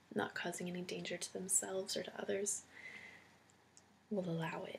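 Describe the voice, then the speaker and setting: Soft-spoken and carrying vocal fry, a woman talks at a moderate pace. Her intonation is monotone and flat. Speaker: ASMR creator and homeless shelter worker. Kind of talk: roleplay interview, ASMR.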